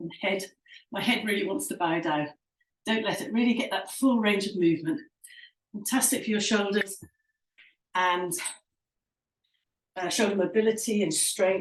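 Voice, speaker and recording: A moderate pace broken by long, frequent pauses, ordinary pitch variation, and music in the background. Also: woman, medium pitch for a woman. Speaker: fitness instructor. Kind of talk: workout instruction. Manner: instructive, encouraging.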